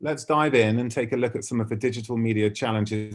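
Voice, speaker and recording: At a fairly quick pace, a man with a British accent speaks at a medium pitch with ordinary pitch variation. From UK. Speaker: ad tech industry speaker. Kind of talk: keynote presentation.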